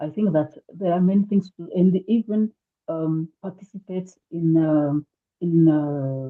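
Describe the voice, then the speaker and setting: Fairly slow speech with a French accent, ordinary pitch variation and big swings in loudness. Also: woman, fairly low pitch for a woman. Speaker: activist panelist. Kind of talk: webinar panel talk. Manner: halting.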